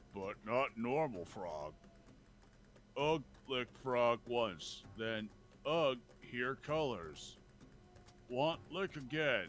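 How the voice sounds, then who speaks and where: A man puts on a character voice at a medium pitch, speaking at a very slow pace with long, frequent pauses. Background noise is clear throughout. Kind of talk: primitive, simple words. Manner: grunting, broken speech.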